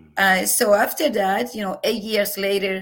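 Speaking at a fairly slow pace, a woman with a Venezuelan accent keeps a medium pitch. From Venezuela, Margarita Island. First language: Spanish. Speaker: professor. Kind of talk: interview. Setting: video call. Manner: loud; animated, laughs often.

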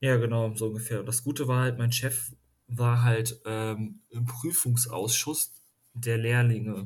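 Somewhat breathy, a man talks at a fairly slow pace. His medium pitch keeps a fairly even intonation. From western Germany, near Düsseldorf. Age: 20s. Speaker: master craftsman. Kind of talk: casual chat.

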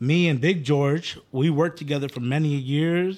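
An unremarkable speaking voice is heard. It moves at a fairly slow pace with ordinary pitch variation. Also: man. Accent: American. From Phoenix, Arizona. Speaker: clothing brand owner. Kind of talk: casual chat.

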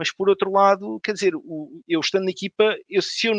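Here is a man with a high-pitched voice. The sound is dry and close, with no echo. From Portugal, Odivelas (Lisbon area). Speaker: lawyer, football fan panelist. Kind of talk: casual panel discussion.

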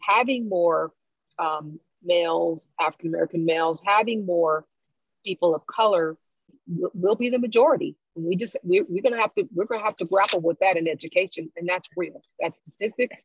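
A woman's ordinary speaking voice, fairly low in pitch with ordinary pitch variation, at a moderate pace, in a dry, close sound with no echo. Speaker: guest, educator. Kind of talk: casual discussion podcast.

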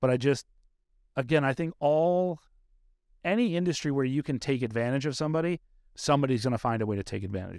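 A man's very fast speech at a fairly high pitch, lively in intonation, with long, frequent pauses, a dry, close sound with no echo, and a very clean recording with a silent background. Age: 40s. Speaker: podcast host. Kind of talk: casual interview chat. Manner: candid, profane.

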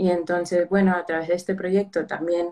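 This woman has a normal speaking voice with a fairly low pitch. She talks at a fairly quick pace. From United States, Peruvian family. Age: 20s. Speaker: mental health project organizer. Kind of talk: casual interview.

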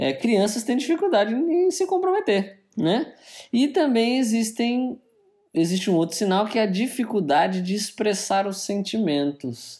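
A man speaks at a fairly slow pace in a high voice with a dark, mellow tone, his pitch swinging very widely. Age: 30s. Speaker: podcast co-host. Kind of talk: casual chat.

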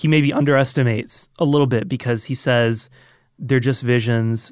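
A man speaks in a plain, everyday voice at a medium pitch with ordinary variation and a moderate pace. The recording is very clean, with a silent background and a dry, close sound with no echo. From Georgia, US (Roswell, Atlanta area). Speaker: audio engineer and film buff. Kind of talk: casual chat. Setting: studio.

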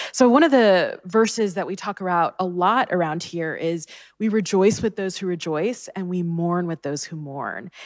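In a very clean recording over a silent background, a woman with an ordinary speaking voice talks at a moderate pace with hardly any pauses, her medium pitch varying an ordinary amount while her loudness swings widely. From US, child of Indian immigrants. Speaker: church staff member. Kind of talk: panel discussion.

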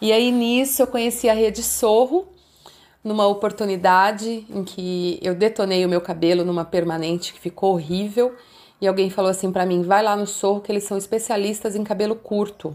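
At a moderate pace, a woman uses an ordinary speaking voice at medium pitch with fairly even intonation. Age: 50s. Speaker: entrepreneur, emotional intelligence coach. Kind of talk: interview, life story.

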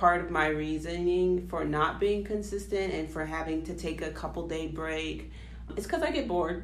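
Moderate-paced speech from a woman, amid noticeable background noise and audible room echo. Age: 20s. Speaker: nurse, podcast co-host. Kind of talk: casual chat.

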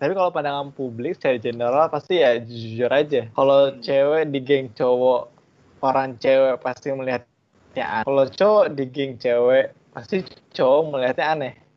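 A normal speaking voice. It moves at a moderate pace with ordinary pitch variation. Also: man, medium pitch for a man. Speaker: podcast co-host. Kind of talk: casual chat.

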